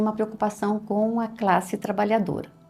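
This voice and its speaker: A woman speaks at a medium pitch. Noticeable background noise can be heard. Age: 60s. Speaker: retired history professor and writer. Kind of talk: interview.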